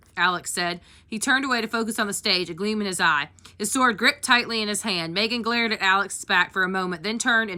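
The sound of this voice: An unforced reading voice is heard throughout.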